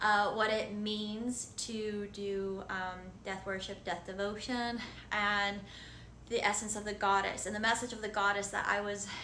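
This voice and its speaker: At a fairly slow pace, a woman with a medium pitch and monotone, flat intonation speaks amid audible room echo. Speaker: spiritual content creator. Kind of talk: casual vlog monologue. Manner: stumbling over words.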